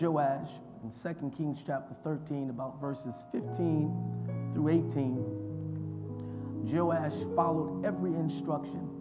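A man at a fairly slow pace over loud music in the background. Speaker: pastor. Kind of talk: sermon. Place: studio. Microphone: lapel.

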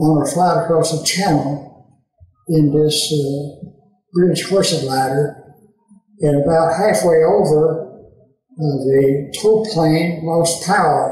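A man speaks very slowly with an East Tennessee accent, his loudness very even and his intonation fairly even. Audible room echo surrounds his voice. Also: fairly high pitch for a man. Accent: Southern US (East Tennessee). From Tennessee, USA. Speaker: WWII veteran. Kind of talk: interview answer. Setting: indoor room with slight echo.

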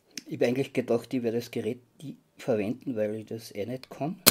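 With light background noise behind him, a man speaks at a fairly quick pace in a dark, mellow tone with ordinary pitch variation. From Austria. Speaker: model railway hobbyist. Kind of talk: tutorial. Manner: halting. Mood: calm, focused. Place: workshop. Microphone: phone near.

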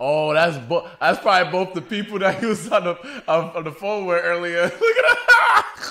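Moderately paced speech comes from a man. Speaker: movie reactor. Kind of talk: casual reaction commentary. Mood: amused, laughing. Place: home room. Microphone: studio mic.

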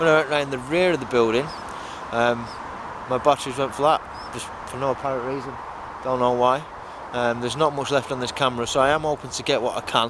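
A man at a very fast pace, fairly even in intonation, in a dry sound with no echo and noticeable background noise. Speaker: urban explorer vlogger. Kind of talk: casual vlog chat. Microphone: phone near.

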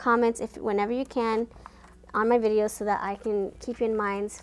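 At a moderate pace, a woman talks. Her intonation is monotone and flat. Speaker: tarot card reader. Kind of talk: casual vlog chat. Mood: warm, chatty.

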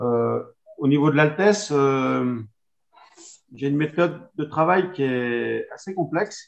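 A man speaks with lively intonation at a fairly high pitch. The background is quiet. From Savoie, France; France. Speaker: winegrower. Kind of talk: wine presentation. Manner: halting, many hesitations. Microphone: video call.

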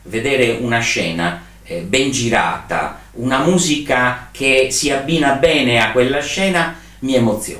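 In a room with audible echo, a man speaks at a fairly slow pace with lively intonation. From Sardinia, Alghero; Sardinia. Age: 60s. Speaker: trade fair and event organizer; interviewee. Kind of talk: interview. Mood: reflective, animated at times. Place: home room.

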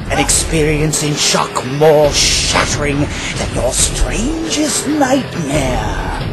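A put-on character voice moves at a very slow pace against loud background noise. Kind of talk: movie trailer. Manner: dramatic, ominous.

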